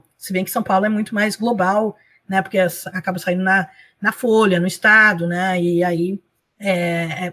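A woman talks at a medium pitch in a normal speaking voice. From Brazil. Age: 50s. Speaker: blogger and professor. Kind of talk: interview.

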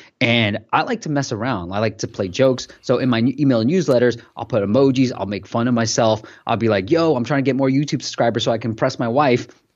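A man talks at a fairly quick pace in an ordinary speaking voice, his pitch medium. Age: 30s. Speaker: entrepreneur and podcast host. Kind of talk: casual interview chat.

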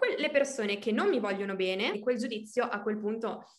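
A woman speaks at a moderate pace in a fairly high pitch, with audible room echo. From Emilia-Romagna, Italy (Reggio Emilia). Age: 20s. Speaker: coaching client. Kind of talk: interview testimony. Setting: video call.

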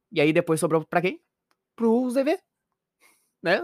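A man with a southern Brazilian accent talks at a moderate pace with lively intonation, captured in a very clean recording with a silent background and a dry, close sound with no echo. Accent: gaucho Brazilian Portuguese. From Rio Grande do Sul, Brazil. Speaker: podcast co-host. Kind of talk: casual chat.

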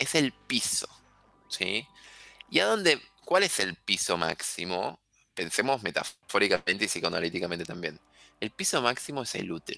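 A man with a Rioplatense accent speaks at a moderate pace in a fairly low pitch, his tone bright, sharp and animated, his intonation lively, with long, frequent pauses. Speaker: astrologer. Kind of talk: casual chat.

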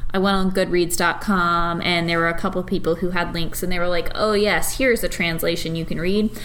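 A woman speaks fairly quickly at a fairly low pitch, with monotone, flat intonation and very even loudness. Noticeable background noise and audible room echo fill the recording. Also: hardly any pauses. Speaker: podcast co-host. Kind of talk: casual chat. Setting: dining room.

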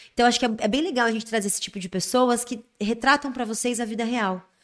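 On a very clean recording with a silent background, a woman talks very fast with ordinary pitch variation. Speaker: podcast host. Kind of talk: casual interview. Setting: studio.

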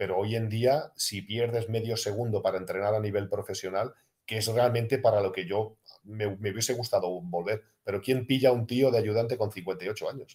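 A man's somewhat breathy, medium-pitched voice at a moderate pace, with fairly even intonation. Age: 50s. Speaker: retired basketball player. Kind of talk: casual interview. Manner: halting.

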